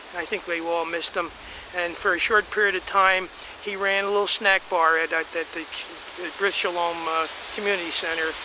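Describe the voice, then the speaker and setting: The speaker has an American accent and a monotone, flat delivery. The pace is fairly quick, with noticeable background noise. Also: man, high pitch for a man. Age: 80s+. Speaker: family elder telling family history. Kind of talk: oral history reminiscence. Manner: halting, many fillers and restarts.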